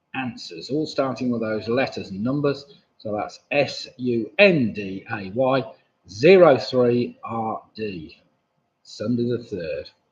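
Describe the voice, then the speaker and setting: Mumbling in an English accent, a man speaks at a very slow pace with lively intonation. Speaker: quiz host. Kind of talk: live online quiz hosting. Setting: live stream from home computer. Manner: casual, hesitant.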